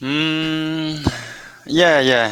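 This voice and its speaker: A man with a Hong Kong accent at a very slow pace. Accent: Hong Kong Cantonese. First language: Cantonese. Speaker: English student. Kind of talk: online English lesson conversation. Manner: halting.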